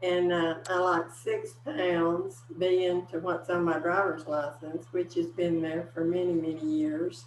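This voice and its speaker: Amid noticeable background noise, the speaker goes at a fairly slow pace with very even loudness and ordinary pitch variation. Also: woman, fairly low pitch for a woman. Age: 70s. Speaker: weight-loss client. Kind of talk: testimony.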